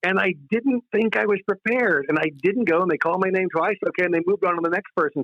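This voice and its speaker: A man's high-pitched, animated voice, very fast, with lively intonation. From US West Coast, Contra Costa County, California. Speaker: stand-up comedian. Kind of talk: interview.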